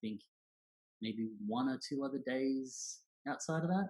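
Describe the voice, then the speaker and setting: Speaking at a fairly slow pace, a man with an Australian accent uses lively intonation at a fairly high pitch. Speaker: church young adults director. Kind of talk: casual interview chat. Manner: loud.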